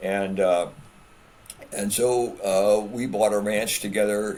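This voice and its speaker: A man's fairly low voice carries through audible room echo and noticeable background noise. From US Midwest, Dayton, Ohio. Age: 80s+. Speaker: retired engineer and rancher. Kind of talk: interview. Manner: halting, many fillers.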